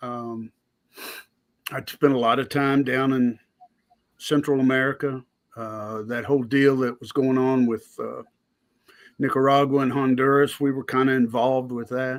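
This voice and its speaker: A man with a Southern US accent, medium in pitch and moderate in pace, monotone and flat, with big swings in loudness and long, frequent pauses. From US South. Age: 60s. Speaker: blacksmith and army veteran. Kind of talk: casual chat.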